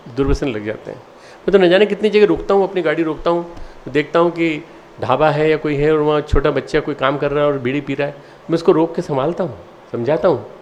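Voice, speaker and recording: A man speaks with a fairly high pitch and ordinary variation in it. Noticeable background noise runs under the recording. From India, Madhya Pradesh. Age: 60s. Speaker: spiritual leader. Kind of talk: address to students. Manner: halting.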